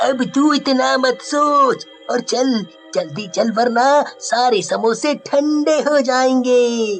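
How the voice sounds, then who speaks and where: A man's cartoonish character voice, extremely high in pitch and very slow, over clear music in the background. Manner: casual, familiar.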